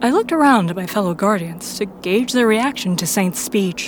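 Over noticeable background noise, a woman talks at a medium pitch with lively intonation. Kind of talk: fiction audiobook narration, first-person Guardian narrator. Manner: measured storyteller pacing, dramatic and tense.

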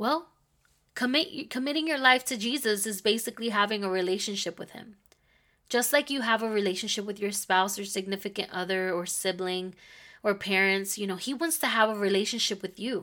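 A woman with an American accent speaks at a medium pitch and a fairly quick pace, her tone bright and sharp, her pitch varying in an ordinary way, in a very clean recording with a silent background. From Philadelphia, Pennsylvania. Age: 30s. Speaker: podcast host. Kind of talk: personal testimony. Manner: casual, with fillers.

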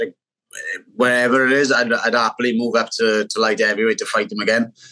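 Very fast and with fairly even intonation, a man talks in a strong Welsh accent with a bright, sharp tone. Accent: Welsh, thick. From Wales. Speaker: MMA fighter. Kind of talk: casual interview.

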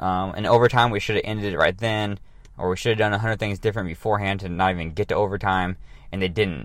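Fairly low in pitch, the man uses fairly even intonation. He talks at a very fast pace. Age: 30s. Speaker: fitness podcast host. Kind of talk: casual solo podcast monologue. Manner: casual, many fillers and restarts.

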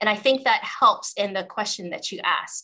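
Speaking at a moderate pace with a Canadian accent, a woman has a bright, sharp tone and a fairly high pitch. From Western Canada. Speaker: transportation manager in the chemical industry. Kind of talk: interview.

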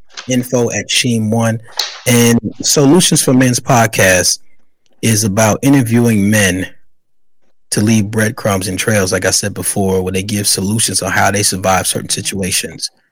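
Speaking with an American accent, a man uses a plain, everyday voice at a fairly low pitch, with a moderate pace and ordinary pitch variation. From New York, the Bronx. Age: 40s. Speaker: author and podcaster. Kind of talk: interview.

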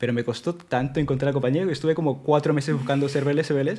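This man's voice is fairly high in pitch, with a dark, mellow tone. His intonation stays fairly even. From Peru, moved to Madrid at 14. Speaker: software engineer. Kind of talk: casual interview.

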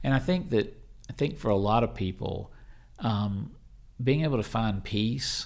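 The speaker is a man with a fairly low voice. He keeps a moderate pace and ordinary pitch variation. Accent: Southern US. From Mississippi, US South. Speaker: pastor. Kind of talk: interview.

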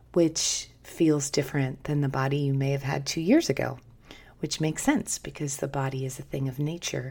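On a very clean recording with a silent background, a woman with a very deep, low pitch and a dark, mellow, somewhat breathy tone speaks with fairly even intonation. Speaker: podcast host. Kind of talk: podcast monologue. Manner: seductive tone.

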